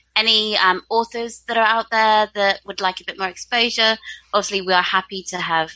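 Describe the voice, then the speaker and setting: A woman with a southern English accent, fairly high-pitched and bright, sharp in tone, with fairly even intonation at a fairly quick pace. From UK. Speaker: book podcast co-host. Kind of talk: casual chat.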